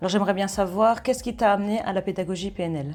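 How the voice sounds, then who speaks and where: Music plays behind a woman speaking at a medium pitch with ordinary pitch variation. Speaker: school coach, interviewer. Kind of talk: interview questions.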